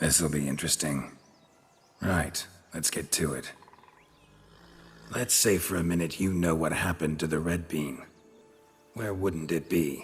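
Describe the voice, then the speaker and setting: A man's put-on character voice, very deep and low, at a moderate pace over faint music in the background. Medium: video game. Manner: dry, laconic.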